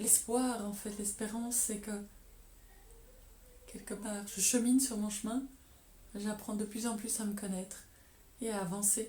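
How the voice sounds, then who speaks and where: Against noticeable background noise, a woman with fairly high pitch speaks at a fairly slow pace in monotone, flat intonation, with long, frequent pauses. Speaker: painter and doctor. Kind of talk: interview answer.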